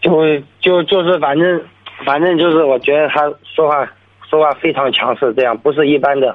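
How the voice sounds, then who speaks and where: Speaking at a moderate pace, a man with a fairly high pitch keeps fairly even intonation and very even loudness. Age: 20s. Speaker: caller, renovation worker. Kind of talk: radio call-in conversation. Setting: phone call. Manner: halting.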